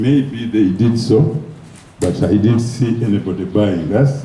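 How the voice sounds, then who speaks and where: Over noticeable background noise, a man with a Ugandan accent speaks at a very slow pace and a medium pitch with lively intonation. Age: 70s. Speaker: former football federation president. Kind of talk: award speech.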